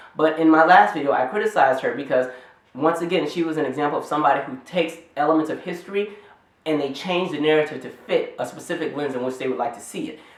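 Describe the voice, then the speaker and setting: The speech comes at a very fast pace, with noticeable background noise. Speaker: YouTube commentator. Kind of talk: casual commentary vlog. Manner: animated.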